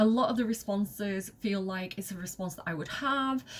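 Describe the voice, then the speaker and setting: There is noticeable background noise behind a woman with a Mancunian accent. She speaks at a moderate pace and medium pitch in an animated tone. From northern England, Manchester. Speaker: video game streamer. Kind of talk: gameplay commentary.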